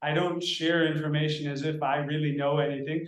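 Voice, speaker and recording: With an American accent and a fairly high pitch, a man talks at a fairly quick pace in a monotone, flat intonation, with audible room echo around him. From United States. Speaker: meditation practitioner. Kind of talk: casual interview conversation. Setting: video call.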